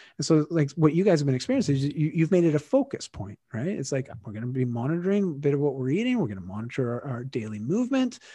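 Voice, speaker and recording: A man with a Canadian accent talks at a very fast pace, hardly pausing, in a fairly high pitch with very wide swings. His tone is dark and mellow, and somewhat breathy. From Canada. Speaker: fitness and lifestyle guest. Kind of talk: casual chat.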